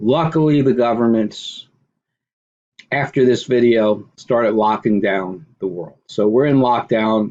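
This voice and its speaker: This man talks at a moderate pace with ordinary pitch variation and a medium pitch. He has an ordinary speaking voice. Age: 50s. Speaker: online commentator. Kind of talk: screen-share video commentary.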